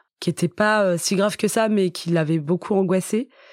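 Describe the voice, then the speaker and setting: A woman's medium-pitched voice with fairly even intonation, dry and close with no echo, on a very clean recording with a silent background. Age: 40s. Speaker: author. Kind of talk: testimony. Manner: halting.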